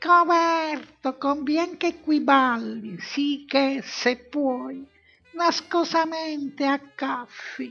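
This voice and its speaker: A put-on character voice moves at a very slow pace while faint music plays in the background. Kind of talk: comic devilish taunting. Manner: mocking, rough, gleeful.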